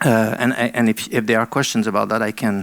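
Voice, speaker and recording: Vocal fry marks this man's medium-pitched voice, in a French Canadian accent. He talks at a fairly quick pace in a dry, close sound with no echo. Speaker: arts council CEO. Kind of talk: panel presentation. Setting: seminar with audience. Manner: halting, many fillers.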